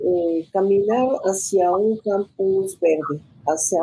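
A woman's voice over noticeable background noise. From Mexico, city of Guanajuato. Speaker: university professor and rector candidate. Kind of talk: panel discussion.

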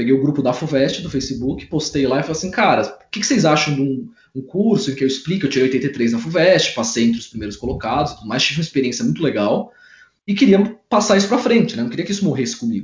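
A man talks at a very fast pace in a fairly high, somewhat breathy voice. His pitch swings very widely. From interior of São Paulo state, Brazil. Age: 20s. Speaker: civil engineer and study coach. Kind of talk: casual interview. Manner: animated.

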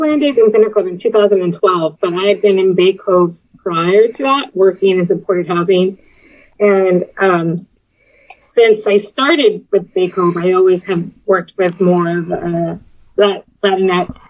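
With an American accent, a woman uses an ordinary speaking voice at a medium pitch, speaking at a fairly slow pace with ordinary pitch variation. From Texas, US-Mexico border. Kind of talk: casual chat. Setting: video call.

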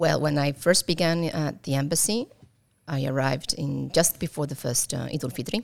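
A woman's very deep, low voice with vocal fry, a fairly quick pace and ordinary pitch variation. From Italy, raised abroad by Colombian parents. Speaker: embassy staff member and mother. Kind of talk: interview. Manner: halting, many fillers.

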